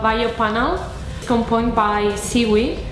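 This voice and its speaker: There is audible room echo and noticeable background noise as a woman with a fairly high pitch speaks. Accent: Spanish. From Argentina. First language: Spanish. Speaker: design competition finalist. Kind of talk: interview testimonial.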